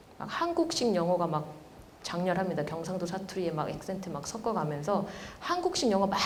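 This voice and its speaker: A woman speaks at a medium pitch. Noticeable background noise and audible room echo fill the recording. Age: 40s. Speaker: professor. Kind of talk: lecture. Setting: stage with audience.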